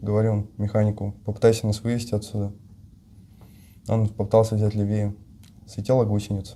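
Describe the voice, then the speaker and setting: The voice is somewhat breathy with a dark, mellow tone and monotone, flat intonation, moving at a fairly quick pace yet broken by long, frequent pauses. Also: man. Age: young. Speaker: captured soldier, armored vehicle commander. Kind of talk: interview answer.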